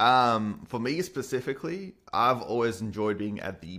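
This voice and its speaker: A man with an Australian accent speaks at medium pitch. His tone is bright and sharp. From Perth, Australia. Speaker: YouTuber and developer. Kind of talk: casual podcast conversation. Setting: video call.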